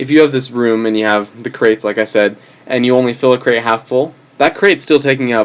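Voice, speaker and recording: Fairly even intonation comes at a fairly quick pace. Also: man. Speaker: programming tutorial maker. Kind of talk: tutorial. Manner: fast; hesitant, many fillers.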